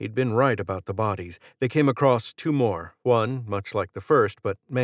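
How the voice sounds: Someone reads in a natural reading voice with ordinary pitch variation. The background stays quiet.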